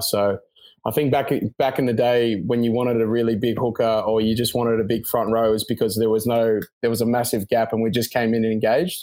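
A man speaks at a fairly quick pace with an Australian accent and a medium pitch. The recording is very clean, with a silent background. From Sydney, Australia. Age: 20s. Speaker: professional rugby player. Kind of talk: interview.

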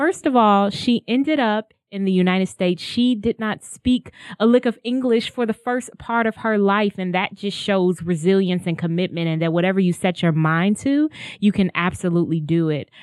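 A woman at medium pitch talks at a moderate pace with an animated tone and lively intonation, the sound dry and close with no echo. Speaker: podcast host. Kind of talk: casual interview chat. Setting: studio.

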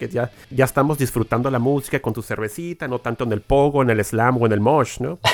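Heard in a dry, close sound with no echo, a man at medium pitch talks at a moderate pace with ordinary pitch variation in an ordinary speaking voice. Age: 40s. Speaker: podcast host. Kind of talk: casual interview.

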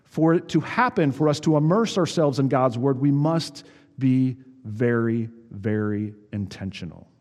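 Over noticeable background noise, a man with a medium-pitched voice talks at a moderate pace with lively intonation. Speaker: pastor. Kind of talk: sermon. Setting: church. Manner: halting.

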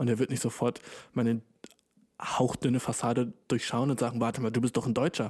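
An animated tone at a fairly quick pace, very even loudness and long, frequent pauses, dry and close with no echo. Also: man, medium pitch for a man. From Germany. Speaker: podcast host. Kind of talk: casual solo podcast monologue. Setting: home recording with new microphone. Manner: animated, slangy.

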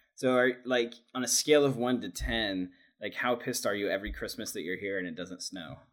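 In a very clean recording with a silent background, a man with a medium pitch, vocal fry and ordinary pitch variation talks at a fairly quick pace. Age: 30s. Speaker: coffee shop director. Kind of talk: casual chat.

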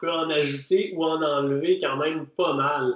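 This man speaks with a Quebec accent. His pitch is fairly high. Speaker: obstacle racing podcast host. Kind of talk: casual chat.

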